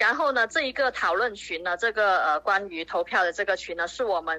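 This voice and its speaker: At a fairly quick pace, a woman with a medium pitch speaks in a bright, sharp tone with lively intonation. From Zhongshan, Guangdong, China. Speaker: community group organizer. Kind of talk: interview.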